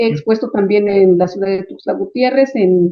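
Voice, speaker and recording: Using a plain, everyday voice, a woman speaks at a fairly slow pace. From Chiapas, Mexico. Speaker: writer, translator and visual artist. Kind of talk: interview answer.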